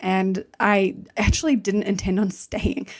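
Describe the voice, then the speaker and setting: This woman has a medium-pitched voice with vocal fry. She speaks with an American accent. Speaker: fitness coach and nutritionist. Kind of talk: podcast interview. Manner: casual, chatty.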